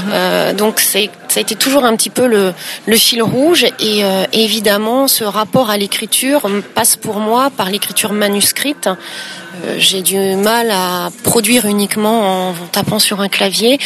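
Over noticeable background noise, a woman with a fairly high voice speaks at a fairly slow pace with fairly even intonation. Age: 40s. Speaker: entrepreneur. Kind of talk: interview. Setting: hotel in Paris. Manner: halting.

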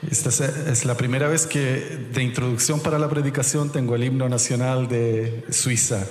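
A man at medium pitch with hardly any pauses, amid noticeable background noise and audible room echo. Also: fairly even intonation, moderate pace, very even loudness. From Chile. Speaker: pastor. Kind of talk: sermon.

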